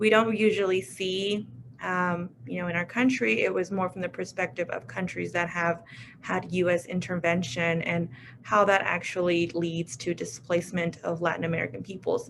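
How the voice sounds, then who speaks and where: A woman with an unremarkable speaking voice talks at a moderate pace, her medium pitch ordinarily varied. The recording is very clean, with a silent background. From US, Mexican immigrant family. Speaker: alumna working with refugees. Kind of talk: panel discussion.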